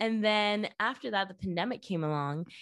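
Lively intonation carries a Spanish accent on a very clean recording with a silent background. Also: woman. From Venezuela. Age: 20s. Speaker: viral marketer. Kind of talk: casual interview chat.

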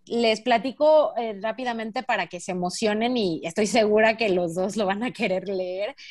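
With ordinary pitch variation, a woman of medium pitch speaks in an unremarkable speaking voice. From Mexico. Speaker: podcast co-host. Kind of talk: casual chat.

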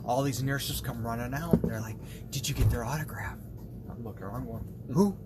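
A man speaks over noticeable background noise. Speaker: firefighter guest.

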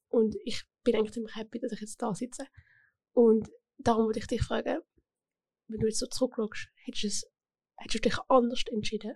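Long, frequent pauses break up speech delivered at a moderate pace with fairly even intonation. Loudness swings widely, and the sound is dry and close with no echo. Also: woman, fairly high pitch for a woman. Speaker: podcast host, apprentice. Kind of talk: casual interview. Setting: studio.

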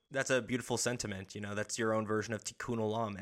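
A man with a medium-pitched, bright, sharp voice talks very fast in a flat monotone on a very clean recording with a silent background. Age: 20s. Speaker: podcast host. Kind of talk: casual interview.

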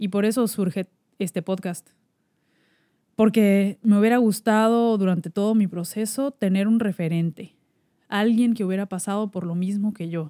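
A woman's dark, mellow voice at a fairly slow pace, fairly even in intonation, with a dry, close sound free of echo and a very clean recording over a silent background. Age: 30s. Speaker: podcast host, cancer survivor. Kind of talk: personal monologue podcast.

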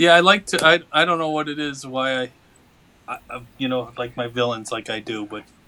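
His bright, sharp tone marks this man's medium-pitched speech, which moves at a moderate pace with ordinary pitch variation and big swings in loudness. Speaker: author. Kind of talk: casual interview chat.

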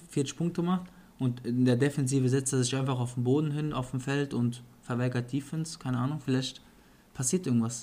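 A man with an ordinary speaking voice and a medium pitch talks at a fairly quick pace, his intonation fairly even. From Germany, Offenbach. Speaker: NBA podcast co-host. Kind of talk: casual chat.

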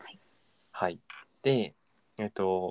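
The sound is dry and close, with no echo. A man talks with lively intonation. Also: very clean recording, silent background. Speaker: podcast co-host. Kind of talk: casual chat.

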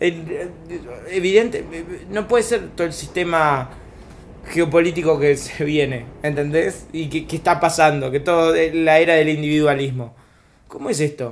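This man has an ordinary speaking voice, fairly high in pitch with ordinary pitch variation, and talks at a fairly slow pace. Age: 30s. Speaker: stand-up comedian. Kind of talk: casual chat.

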